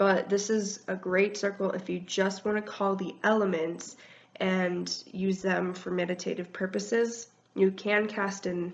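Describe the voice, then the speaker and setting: A woman talks at a fairly slow pace with a medium pitch. Her intonation is monotone and flat. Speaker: wiccan video blogger. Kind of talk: tutorial. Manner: casual, hesitant with many ums.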